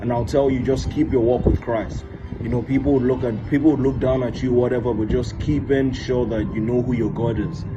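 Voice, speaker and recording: Noticeable background noise and audible room echo surround a man speaking with a Nigerian accent. His medium pitch moves in fairly even intonation at a fairly quick pace. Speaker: recent graduate. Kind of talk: testimony.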